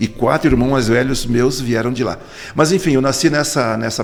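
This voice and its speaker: A man speaks at a medium pitch with ordinary pitch variation. It is a normal speaking voice. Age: 60s. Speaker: politician. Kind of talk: interview.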